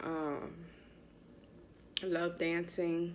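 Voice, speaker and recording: A woman speaks with an American accent. Her fairly low voice carries audible room echo. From US Northeast, Bronx, New York. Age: 40s. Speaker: patient sharing illness story. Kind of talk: testimony.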